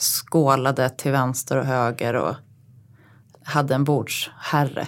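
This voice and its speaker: A fairly slow-speaking woman on a very clean recording, the background silent. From Uppsala, Sweden. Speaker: podcast co-host, design writer. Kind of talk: casual chat.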